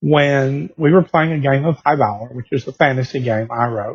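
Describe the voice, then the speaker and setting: A man speaks at a fairly high pitch with ordinary pitch variation and a somewhat breathy quality. The sound is dry and close with no echo. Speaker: game designer and blogger. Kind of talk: casual video blog.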